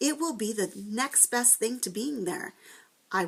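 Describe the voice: Simple, plain reading aloud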